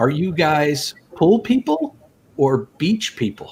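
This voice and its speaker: A man with a slight Canadian accent and lively intonation. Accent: slightly Canadian-sounding. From US Northeast, Rhode Island. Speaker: live stream host. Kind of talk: casual chat.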